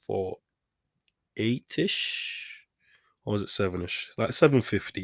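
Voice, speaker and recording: Fairly low-pitched male voice, fairly slow pace, dry and close sound with no echo. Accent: Manchester. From Manchester, England. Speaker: podcast host. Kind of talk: casual solo monologue. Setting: home studio. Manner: rambling, self-deprecating.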